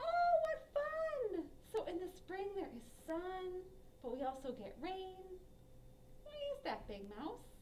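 Over clear background noise, a woman uses a cartoonish character voice at an extremely high pitch with very wide pitch swings, moving fairly slowly with long, frequent pauses. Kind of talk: children's puppet show. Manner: upbeat, curious.

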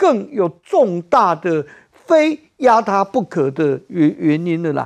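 The background is quiet. The speaker is a man. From Taiwan. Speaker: political commentator. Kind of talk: heated political debate. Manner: animated. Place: studio. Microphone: lapel.

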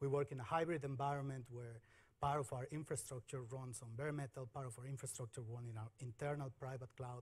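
A man's voice is somewhat breathy. His intonation stays fairly even. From Mexico. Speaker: software engineer at a bank. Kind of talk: conference talk. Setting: stage with audience. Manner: halting, frequent repetitions. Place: stage.

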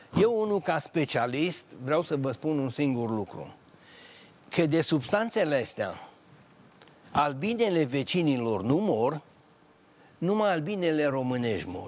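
Speaking at a fairly slow pace with long, frequent pauses, a man's fairly high voice moves through very wide pitch swings. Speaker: retired agronomist engineer. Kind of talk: TV talk show discussion. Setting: TV studio. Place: studio.

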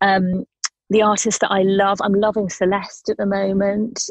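A somewhat breathy woman with a British accent, her sound dry and close with no echo. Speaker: singer-songwriter. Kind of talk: radio interview.

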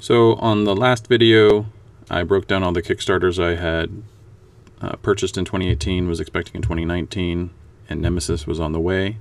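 This man talks at a fairly quick pace with a very deep, low pitch. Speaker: miniature painting hobbyist. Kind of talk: painting tutorial narration. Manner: monotone.

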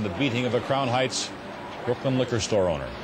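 Noticeable background noise sits behind a man's voice. He talks at a very fast pace with ordinary pitch variation. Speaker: television news anchor. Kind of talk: television news anchor delivery. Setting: 1970s broadcast TV news recording. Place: studio. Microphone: lapel.

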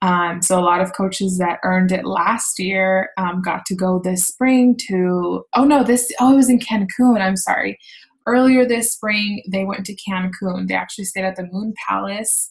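A woman talks at a moderate pace with hardly any pauses, in a medium pitch that is somewhat breathy. Her pitch varies in an ordinary way against a quiet background. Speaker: fitness coach leading team call. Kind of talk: team call presentation. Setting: online video call. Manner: casual, filler-heavy. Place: home room. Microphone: webcam.

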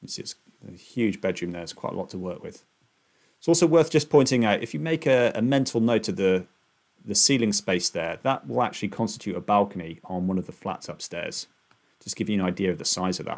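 A man's fairly low voice at a fairly quick pace, with very wide pitch swings and big swings in loudness against a quiet background. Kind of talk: narrated screen-share walkthrough. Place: home room. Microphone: webcam.

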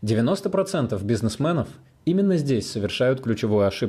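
A man of medium pitch speaks at a moderate pace in a dark, mellow, somewhat breathy voice with very wide pitch swings, on a very clean recording with a silent background. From Russia, Saint Petersburg. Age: 20s. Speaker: online business coach. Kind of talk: sales pitch. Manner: animated.

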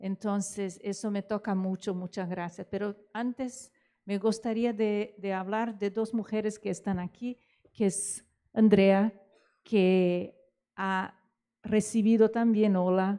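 Against a quiet background, a woman with a Portuguese accent speaks very slowly in a dark, mellow tone with monotone, flat intonation. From Brazil. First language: Portuguese (speaking Spanish). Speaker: opera festival director; panelist. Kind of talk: closing remarks at a conference. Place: hall. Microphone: handheld.

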